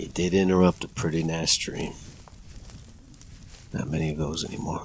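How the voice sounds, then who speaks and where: A man puts on a gruff character voice, very deep and low, at a moderate pace with fairly even intonation. Clear background noise runs under him. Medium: audio drama.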